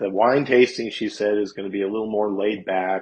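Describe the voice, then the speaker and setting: A man talks at a moderate pace. He has a plain, everyday voice. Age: 60s. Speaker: guest musician, gigging guitarist. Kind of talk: casual interview chat.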